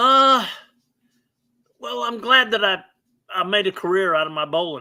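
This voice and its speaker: A man speaks at a moderate pace in a raised, projected voice, his pitch high and his tone bright and sharp. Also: lively intonation. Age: 70s. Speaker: retired professional bowler. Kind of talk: casual interview.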